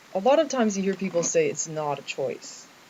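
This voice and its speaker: Someone with a Canadian accent speaks at a moderate pace amid noticeable background noise. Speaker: vlogger. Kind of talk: personal video diary. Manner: halting, many fillers.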